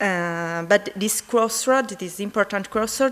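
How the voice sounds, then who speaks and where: A woman with a strong Italian accent, moderate pace and ordinary pitch variation. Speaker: conference presenter. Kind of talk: conference poster presentation. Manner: halting, many fillers.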